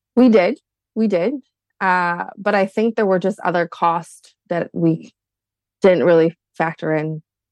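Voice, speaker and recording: Recorded dry and close with no echo, a woman with a fairly low pitch speaks at a fairly slow pace, with long, frequent pauses and ordinary pitch variation. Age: 30s. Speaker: guest couple seeking financial advice. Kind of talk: casual chat.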